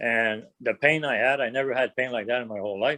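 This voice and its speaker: A man speaks with a strong French Canadian accent. The sound is dry and close, with no echo. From French Canada. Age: 60s. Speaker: prostate cancer patient. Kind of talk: casual interview.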